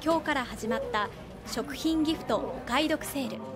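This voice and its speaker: A woman's voice rises and falls in a lively way while music plays behind her. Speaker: news reporter. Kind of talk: TV news narration.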